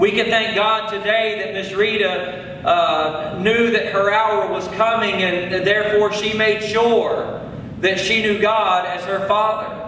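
There is audible room echo and light background noise as a man speaks at a very slow pace in a high pitch with fairly even intonation. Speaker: preacher at a funeral. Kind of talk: funeral sermon. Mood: solemn, comforting. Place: church. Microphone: podium.

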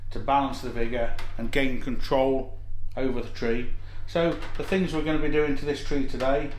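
A man speaks with fairly even intonation at a moderate pace, with light background noise and audible room echo around him. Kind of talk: tutorial. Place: workshop.

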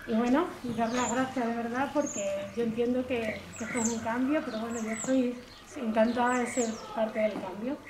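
Noticeable background noise sits behind a woman talking at a moderate pace. Her pitch is fairly high and her intonation fairly even. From Garrovillas, Cáceres, Extremadura, Spain; Extremadura, Spain. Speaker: local artist. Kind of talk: speech at public event; informal public presentation. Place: street. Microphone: camera far.

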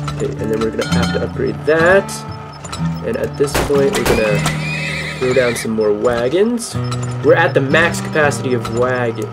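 With loud music in the background, a man speaks at a moderate pace. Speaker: gaming commentator. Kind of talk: commentary.

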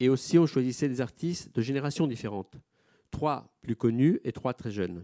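Against a quiet background, a man speaks at a moderate pace with lively intonation. His tone is dark and mellow, and the sound is dry with no echo. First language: Italian (speaking French). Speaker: gallery director; moderator or curator presenting the artist. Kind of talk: panel moderation. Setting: auditorium with audience. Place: hall. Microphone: microphone problems.

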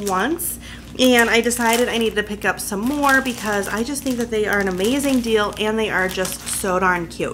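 Noticeable background noise sits under a woman's voice, which has ordinary pitch variation and a moderate pace. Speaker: vlogger. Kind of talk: casual vlog chat. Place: home room.

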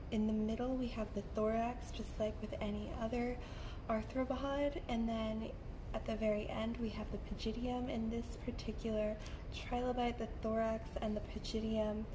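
A woman talks at a moderate pace. Noticeable background noise can be heard. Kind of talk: soft-spoken ASMR lecture.

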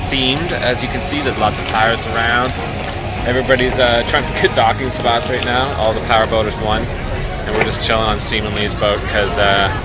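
Over loud music in the background, a man talks at a fairly quick pace, his voice dry with no echo. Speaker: sailing vlogger. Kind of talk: casual vlog chat. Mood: relaxed, cheerful. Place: waterside. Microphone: phone near.

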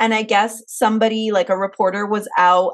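A woman talks at a moderate pace in a fairly high pitch. Her tone is animated, and the background is quiet. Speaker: podcast host. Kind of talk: casual chat. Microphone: video call.

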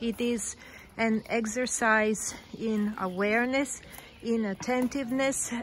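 Light background noise is audible as a woman talks. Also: dry sound with no echo. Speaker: tour guide narrator. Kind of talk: guided tour commentary. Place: forest. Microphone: phone near.

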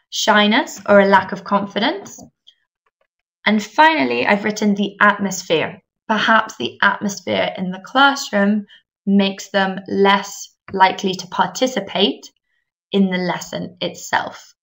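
A woman with an English accent at a medium pitch and fairly slow pace, with lively intonation and big swings in loudness. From England. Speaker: English teacher trainer. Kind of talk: webinar presentation. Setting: online webinar.

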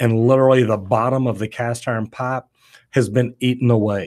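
A man speaks at a medium pitch with a slightly mellow tone. His pace is fairly quick and his intonation fairly even.

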